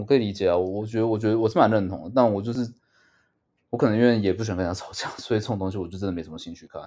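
Over a silent background in a very clean recording, a man speaks at a very fast pace with big swings in loudness. His tone is dark and mellow, his pitch fairly low, with ordinary pitch variation. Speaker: podcast co-host. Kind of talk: casual chat.

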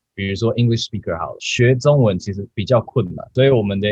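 A somewhat breathy man's voice at medium pitch and a fairly quick pace. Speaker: podcast host. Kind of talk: casual chat. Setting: online call.

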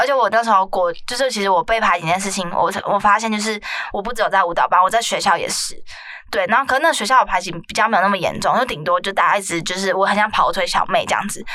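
The speaker talks at a very fast pace with ordinary pitch variation. Noticeable background noise is present. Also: woman, medium pitch for a woman. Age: 20s. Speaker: podcast host. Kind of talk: casual chat.

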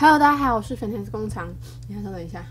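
A woman speaks with audible room echo. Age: 20s. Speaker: podcaster. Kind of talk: casual solo talk. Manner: halting, many fillers.

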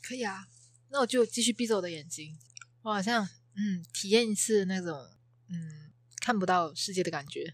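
Speaking at a moderate pace with lively intonation, a woman of medium pitch leaves long, frequent pauses. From Malaysia. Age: 20s. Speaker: guest, Malaysian student in Taiwan. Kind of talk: casual chat.

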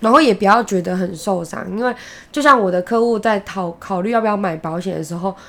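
A woman at a very fast pace, medium in pitch with ordinary pitch variation. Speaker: podcast co-host. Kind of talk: casual chat.

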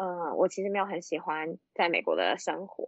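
A woman speaks at a moderate pace with medium pitch. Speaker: accountant working abroad. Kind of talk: casual chat. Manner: halting, many fillers.

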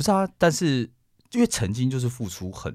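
Pitch swings very widely as this man talks. His voice sits at medium pitch and moves at a fairly quick pace. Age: 30s. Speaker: podcast co-host. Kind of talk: casual chat.

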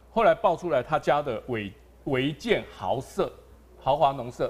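Music plays in the background as a man with a fairly high pitch speaks with very wide pitch swings. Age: 50s. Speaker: local politician, council candidate. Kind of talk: live-streamed panel discussion. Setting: live broadcast venue with studio audience.

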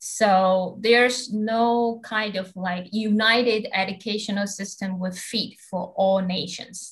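A somewhat breathy voice in a Taiwanese accent, at a very slow pace with hardly any pauses. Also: woman, medium pitch for a woman. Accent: Taiwanese Mandarin-accented English. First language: Mandarin Chinese. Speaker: podcast host, master's student. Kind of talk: casual interview.

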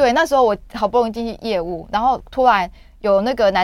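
In a very clean recording with a silent background, a woman talks at a fairly high pitch and fairly quick pace with ordinary pitch variation. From Taiwan, rural Yunlin. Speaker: author and sales professional. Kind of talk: radio interview. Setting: radio studio. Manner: animated.

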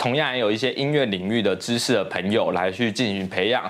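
A man speaks with a Taiwanese accent and ordinary pitch variation. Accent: Taiwanese Mandarin. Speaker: YouTuber. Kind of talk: casual vlog monologue. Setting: home studio. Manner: casual, filler-heavy.

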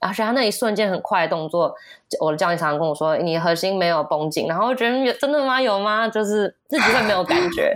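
A woman speaks very fast at a medium pitch, her loudness very even and her intonation lively. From US. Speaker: kindergarten teacher. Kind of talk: casual interview chat.

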